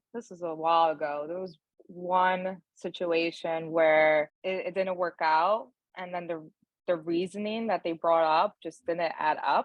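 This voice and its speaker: A woman's fairly low voice in a Brooklyn accent, fairly slow and fairly even in intonation, with big swings in loudness. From New York, Brooklyn (Bushwick), Dominican family. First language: Spanish. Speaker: HR and talent director. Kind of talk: podcast interview. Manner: casual, many fillers like 'like'.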